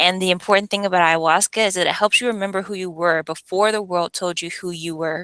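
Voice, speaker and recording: Very fast, bright, sharp speech with an American accent and fairly even intonation, in a dry, close sound with no echo. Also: woman. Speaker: retreat facilitator. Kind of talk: information session presentation. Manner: casual, conversational.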